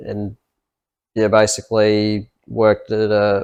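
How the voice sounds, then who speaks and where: A man's fairly low voice with an Australian accent. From Australia, Gold Coast. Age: 20s. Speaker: accountant, podcast co-host. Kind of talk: casual chat.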